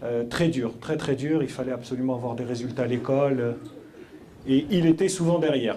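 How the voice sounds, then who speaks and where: A man speaks at a medium pitch and moderate pace with ordinary pitch variation. Noticeable background noise and audible room echo are present. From France, Paris suburbs (Mantes-la-Jolie, Yvelines). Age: 30s. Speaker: entrepreneur. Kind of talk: talk to school pupils. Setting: school hall with audience. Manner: halting, many hesitations.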